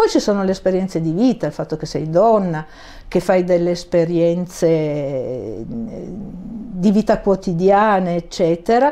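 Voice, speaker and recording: A woman speaks at a fairly slow pace. Her tone is dark and mellow. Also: lively intonation. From Turin, northern Italy; northern Italy. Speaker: ceramic artist; guest. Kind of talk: interview. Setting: studio. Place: studio. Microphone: lapel.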